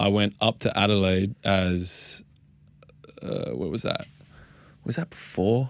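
A man speaks in an Australian accent. His pitch is fairly low. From Melbourne, Australia. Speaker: professional basketball player. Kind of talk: casual chat. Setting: studio.

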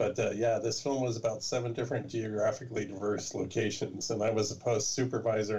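A man's somewhat breathy voice, fairly low in pitch, with fairly even intonation at a fairly quick pace. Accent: Californian. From California. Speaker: documentary filmmaker. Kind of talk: casual interview.

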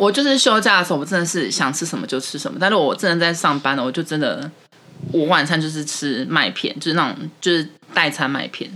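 Noticeable background noise runs throughout. The talking goes along fairly quickly. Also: woman, fairly low pitch for a woman, lively intonation. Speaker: podcast co-host, office worker. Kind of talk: casual chat.

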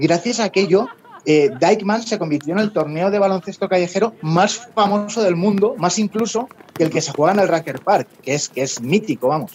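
Delivered at a fairly quick pace with ordinary pitch variation, the speech sits over noticeable background noise. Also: man, high pitch for a man. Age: 40s. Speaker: sports journalist. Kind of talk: podcast interview.

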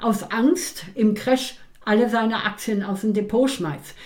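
Her intonation lively, a woman talks at a very slow pace. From East Germany. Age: 80s+. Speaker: stock market expert and author, retired teacher. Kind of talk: interview. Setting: at her home.

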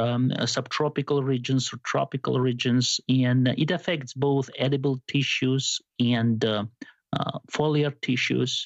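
In a Georgian accent, a man speaks at a fairly slow pace with monotone, flat intonation and medium pitch. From Georgia (country). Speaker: biomedical sciences professor. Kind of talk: interview.

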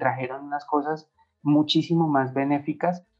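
With a Bogotá accent, a man speaks fairly slowly in a fairly high pitch. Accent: Bogotá Colombian Spanish. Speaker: animation studio co-founder. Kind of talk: interview testimony.

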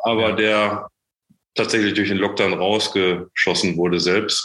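At a moderate pace, a man with a normal speaking voice talks at a fairly low pitch. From Germany, Sauerland (Menden). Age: 40s. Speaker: startup founder and managing director. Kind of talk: podcast interview.

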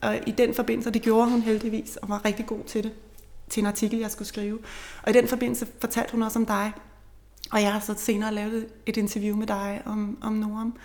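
Monotone, flat intonation runs through a woman's fairly high-pitched voice at a moderate pace. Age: 40s. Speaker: journalist, bereaved mother. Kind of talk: interview about grief and returning to work. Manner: halting.

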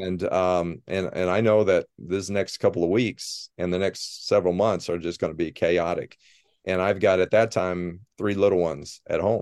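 Man with a Midwestern American accent, very deep, low pitch, fairly even intonation and moderate pace, in a quiet background. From Ohio, US Midwest. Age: 50s. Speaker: football coach. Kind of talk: casual interview.

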